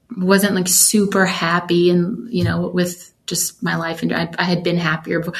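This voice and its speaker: A woman with an American accent talks at a fairly slow pace in a fairly low pitch, her intonation flat and monotone. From US South, Georgia (metro Atlanta). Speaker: worship singer and songwriter. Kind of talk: casual interview chat.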